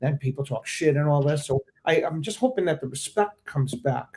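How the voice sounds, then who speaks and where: Somewhat breathy and fairly quick, a man talks with an American accent. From Maryland and New York. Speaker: veteran locking dancer. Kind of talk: casual panel discussion. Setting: live stream.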